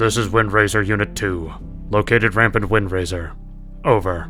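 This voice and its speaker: Clear music plays in the background. A put-on character voice speaks at a moderate pace. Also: man, fairly low pitch for a man. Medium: read story. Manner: flat, authoritative.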